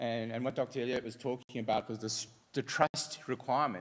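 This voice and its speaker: A man talks with an Australian accent at a medium pitch. His pace is fairly quick. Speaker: fintech entrepreneur. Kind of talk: conference presentation.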